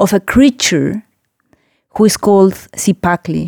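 Recorded dry and close with no echo against a silent background, this very clean clip has a woman with a Spanish accent and a dark, mellow tone. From Mexico City. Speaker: visual artist. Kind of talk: interview. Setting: studio.

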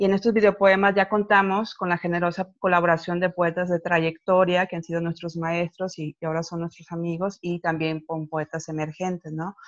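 A woman with a fairly low pitch and monotone, flat intonation at a moderate pace, with a dry, close sound with no echo and a quiet background. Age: 40s. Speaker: poet, collective founder. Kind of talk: casual interview. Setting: video call.

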